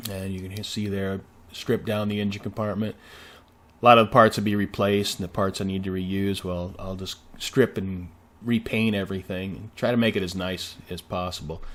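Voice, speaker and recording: In a very clean recording with a silent background, a man at a fairly low pitch speaks at a moderate pace with monotone, flat intonation and big swings in loudness. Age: 60s. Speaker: car restoration hobbyist. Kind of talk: video narration. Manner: casual, many fillers.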